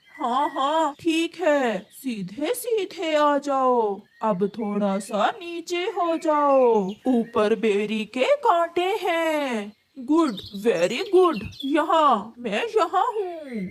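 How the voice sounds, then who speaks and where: This high-pitched, cartoonish character voice moves very slowly through very wide pitch swings. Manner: bossy, directing.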